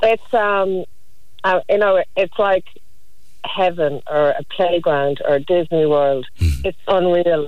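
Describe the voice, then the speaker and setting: A woman speaks very slowly in an Irish accent, her pitch fairly low. Her loudness stays very even and her pitch varies in an ordinary way. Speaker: archaeologist. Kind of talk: casual chat.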